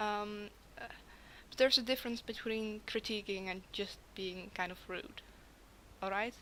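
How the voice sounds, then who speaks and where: Bright and sharp in tone, the voice holds a fairly even intonation, with long, frequent pauses and big swings in loudness. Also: woman, medium pitch for a woman, moderate pace. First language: not English. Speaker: art critic / video creator. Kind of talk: art critique commentary, partly read from pre-written text. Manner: halting, stumbling.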